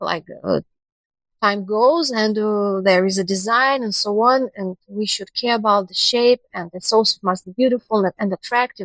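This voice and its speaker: A woman speaks in a Russian accent at a moderate pace. Her pitch is fairly high with ordinary variation, and the sound is dry and close with no echo. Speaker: university international cooperation specialist. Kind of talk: podcast interview. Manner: halting.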